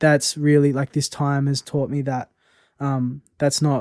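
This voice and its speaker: On a very clean recording with a silent background and a dry, close sound with no echo, a man speaks at a moderate pace in a fairly high pitch with monotone, flat intonation. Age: 20s. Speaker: poet. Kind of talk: casual chat.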